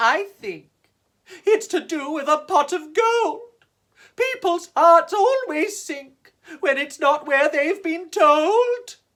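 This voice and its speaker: Someone uses a put-on character voice and speaks at a very slow pace. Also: woman, extremely high pitch for a woman. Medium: read story. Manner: forlorn.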